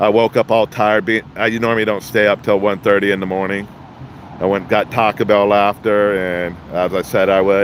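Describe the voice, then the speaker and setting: A man talks at a fairly quick pace with a fairly low pitch. His intonation is monotone and flat, with noticeable background noise. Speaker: street scene livestreamer and delivery driver. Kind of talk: live commentary. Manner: loud; halting.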